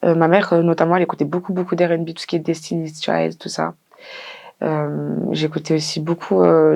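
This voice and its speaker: Her pitch sits fairly low for a woman. She talks at a fairly quick pace. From France, Lyon. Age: 20s. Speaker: singer and rapper. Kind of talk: interview. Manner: hesitant, many fillers.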